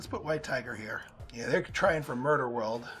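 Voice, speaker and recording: A man's voice with music in the background. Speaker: gaming YouTuber. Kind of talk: let's play commentary.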